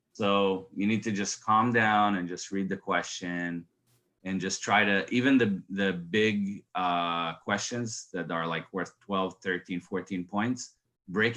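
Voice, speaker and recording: Speaking at a very slow pace, a man has a bright, sharp tone, a fairly low pitch and fairly even intonation. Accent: non-native. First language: not English. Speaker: certified Kubernetes admin sharing exam experience. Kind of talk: casual group discussion.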